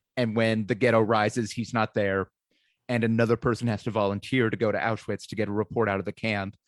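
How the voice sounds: The recording captures a natural reading voice against a quiet background.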